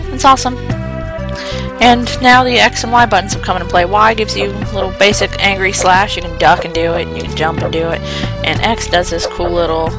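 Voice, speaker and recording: Clear music plays in the background of this dry, echo-free recording, with speech at a moderate pace and hardly any pauses. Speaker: let's play commentator. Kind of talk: let's play gameplay commentary. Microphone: headset.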